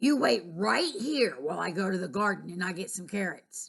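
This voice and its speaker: In a put-on character voice, a woman speaks raspily at a moderate pace and a medium pitch. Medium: read story.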